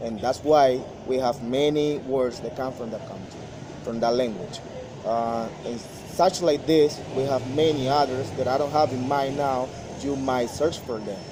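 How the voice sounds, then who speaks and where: With a Spanish accent, a man at medium pitch talks at a fairly slow pace over noticeable background noise. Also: fairly even intonation. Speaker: language student. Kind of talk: student presentation.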